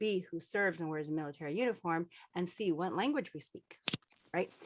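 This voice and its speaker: Lively intonation marks a woman speaking at medium pitch. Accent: Spanish. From Colorado, US. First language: Spanish. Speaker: veteran aviator and children's book author. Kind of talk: panel discussion.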